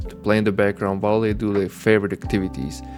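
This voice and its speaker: Over music in the background, a man talks in a fairly low pitch. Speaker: gameplay commentator for sleep videos. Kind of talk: sleep gameplay intro talk to viewer. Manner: soft-spoken.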